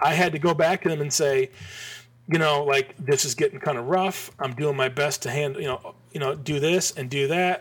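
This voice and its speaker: Somewhat breathy and fairly high-pitched, a man talks with an American accent. His pace is moderate and his pitch variation ordinary. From Michigan. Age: 40s. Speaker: graphic designer. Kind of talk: casual chat. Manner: animated.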